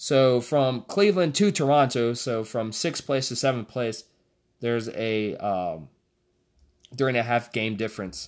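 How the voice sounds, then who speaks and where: A man with an ordinary speaking voice, medium pitch and lively intonation, in a very clean recording with a silent background. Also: moderate pace. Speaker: podcast host. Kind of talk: casual solo podcast monologue about basketball. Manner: relaxed, chatty, conversational.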